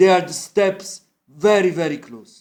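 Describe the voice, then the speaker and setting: This man speaks with an Italian accent. His pitch sits high for a man. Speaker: musician and amateur math explainer. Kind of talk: informal lecture. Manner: halting.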